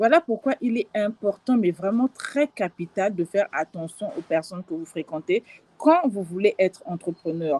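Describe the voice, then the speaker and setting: With very wide pitch swings around a medium pitch, a woman talks at a moderate pace. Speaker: life and business coach. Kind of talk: live stream talk. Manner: hesitant, many fillers.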